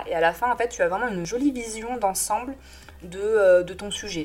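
Background noise is noticeable as a woman speaks at a fairly slow pace. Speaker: graphic designer. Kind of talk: audio newsletter monologue. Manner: hesitant, many fillers.

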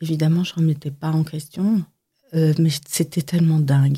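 Somewhat breathy, a woman speaks with a fairly low pitch and a dark, mellow tone. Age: 50s. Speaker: makeup artist. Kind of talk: testimony; tutorial. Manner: halting.

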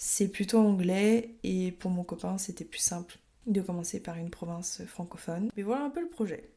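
Her tone is dark and mellow, somewhat breathy, at a medium pitch for a woman. She speaks at a moderate pace with ordinary pitch variation. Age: 20s. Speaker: podcast host. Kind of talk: solo podcast monologue. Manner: casual, some hesitations.

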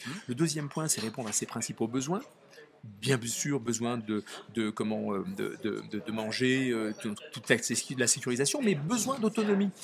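A man at a medium pitch, fairly slow, with lively intonation and noticeable background noise. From Nice area, southern France. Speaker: author. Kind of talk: interview. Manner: halting.

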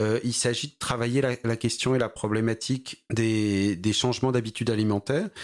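A man speaks at a moderate pace and medium pitch. His pitch varies in an ordinary way, and the recording is very clean with a silent background. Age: 40s. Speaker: startup founder in agri-food. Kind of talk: interview. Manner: halting.

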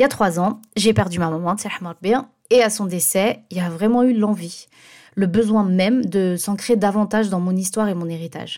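The tone is dark and mellow, with ordinary pitch variation. It's a very clean recording against a silent background. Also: woman, medium pitch for a woman, moderate pace. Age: 30s. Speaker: podcast host. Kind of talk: scripted monologue.

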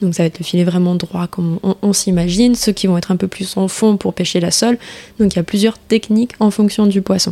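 With a dark, mellow tone, a woman speaks at a medium pitch. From French Guiana. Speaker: start-up manager in fishing net recycling. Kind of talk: interview.

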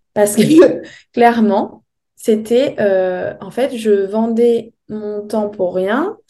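A woman's dark, mellow tone at a fairly high pitch, with ordinary pitch variation. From France, Bordeaux area. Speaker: holistic coach and yoga teacher. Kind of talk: interview. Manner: hesitant, many fillers.

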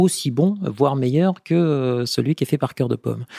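At a moderate pace, a man speaks in a fairly high pitch with ordinary pitch variation, the sound dry and close with no echo. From France, Vendée. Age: 50s. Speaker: food company marketing director. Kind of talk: interview. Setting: company offices. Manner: hesitant, many fillers.

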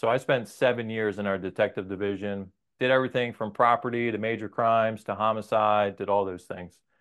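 A man with an American accent speaks at a fairly quick pace in an unremarkable speaking voice, his pitch medium. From New Jersey. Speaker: police sergeant. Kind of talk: casual chat.

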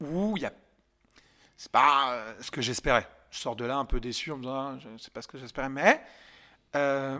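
A man speaks at a moderate pace with a bright, sharp tone. The recording is very clean with a silent background. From France, Yvelines (Paris region). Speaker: stand-up comedian. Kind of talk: casual interview chat. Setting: podcast studio. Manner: loud.

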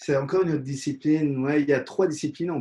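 A man speaks in a dark, mellow tone that is somewhat breathy. His intonation is fairly even. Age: 40s. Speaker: dentist and professional kickboxer. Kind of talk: interview.

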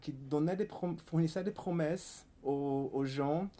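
This man speaks in a Portuguese accent with a fairly high pitch, ordinary pitch variation and a dark, mellow tone. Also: very clean recording, silent background. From Brazil, Fortaleza (northeast). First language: Portuguese (speaking French). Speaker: writer and literary researcher. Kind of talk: book talk interview. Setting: event with live audience. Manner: halting.

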